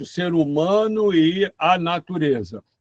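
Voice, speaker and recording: A man's high-pitched voice at a very slow pace, with ordinary pitch variation and a dry, close sound with no echo. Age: 70s. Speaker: professor. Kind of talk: lecture.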